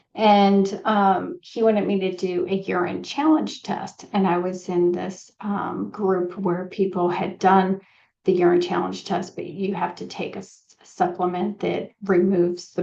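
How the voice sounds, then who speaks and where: At a fairly slow pace, a woman speaks at medium pitch with vocal fry and monotone, flat intonation. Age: 50s. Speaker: nutrition consultant. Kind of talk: casual podcast monologue. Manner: conversational with many fillers.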